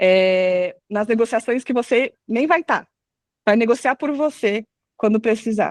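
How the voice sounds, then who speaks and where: Against a quiet background, a woman with an ordinary speaking voice and fairly high pitch talks at a moderate pace in a dry, close sound with no echo. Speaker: product marketing manager. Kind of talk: live webinar talk.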